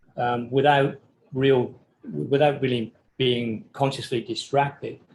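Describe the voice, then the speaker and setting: Somewhat breathy and medium-pitched, a man with an English accent talks at a fairly slow pace with fairly even intonation. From England. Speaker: architecture professor. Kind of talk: podcast interview. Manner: hesitant, many fillers.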